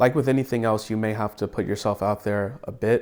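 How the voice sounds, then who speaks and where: On a very clean recording with a silent background, a man with an American accent speaks at a fairly low pitch. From Atlanta, Georgia, USA. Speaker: cinematographer. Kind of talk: interview answer.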